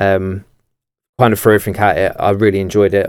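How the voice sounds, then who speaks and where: A man with a southeast English accent speaks at a fairly quick clip in a fairly low voice. The recording is very clean, with a silent background. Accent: south-east English. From Kent, south-east England. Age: 20s. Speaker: mortgage broker and sales head. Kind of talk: podcast interview. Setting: studio.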